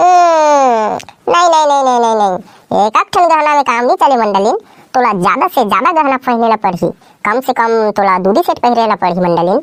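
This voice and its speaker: In a cartoonish character voice, a woman speaks high-pitched at a moderate pace, with very wide pitch swings and very even loudness, in a dry, close sound with no echo. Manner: pompous, mock-solemn.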